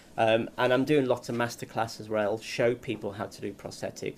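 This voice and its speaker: Vocal fry runs through a man's voice. He talks at a fairly quick pace. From northern England, the Wirral (Merseyside). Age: 40s. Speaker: prosthetic makeup artist. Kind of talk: casual interview. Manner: hesitant, many fillers.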